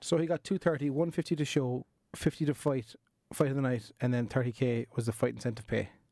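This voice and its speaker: In an Irish accent, a man speaks at a fairly quick pace with a medium pitch, ordinary pitch variation and a dark, mellow tone, in a dry, close sound with no echo on a very clean recording with a silent background. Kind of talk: casual podcast conversation.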